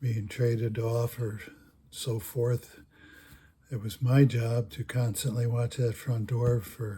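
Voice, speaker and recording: Somewhat breathy and dark, mellow in tone, a man speaks at a very slow pace with monotone, flat intonation. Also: medium pitch for a man. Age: 80s+. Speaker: retired storyteller, former sporting goods store worker. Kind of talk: personal anecdote told to camera. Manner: slow, hesitant, conversational.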